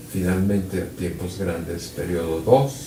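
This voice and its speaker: A man with a very deep, low pitch talks at a fairly slow pace amid noticeable background noise and audible room echo. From Mexico City. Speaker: physics professor. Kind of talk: lecture. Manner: halting, many fillers.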